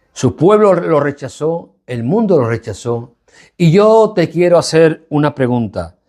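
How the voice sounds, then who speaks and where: At a very slow pace, a man with a high pitch speaks with lively intonation on a very clean recording with a silent background. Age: 60s. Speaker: evangelical preacher. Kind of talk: sermon.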